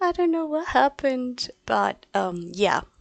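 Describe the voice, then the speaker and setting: A soft-spoken woman talks with very wide pitch swings. The sound is dry and close, with no echo. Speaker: language teacher. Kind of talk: live stream class. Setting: live stream. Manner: halting. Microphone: low volume, audio problems.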